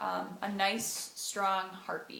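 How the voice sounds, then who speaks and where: A woman speaks at a very slow pace in a bright, sharp tone, with audible room echo. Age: 20s. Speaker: vlogger sharing personal story. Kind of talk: personal testimony vlog. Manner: hesitant with frequent fillers.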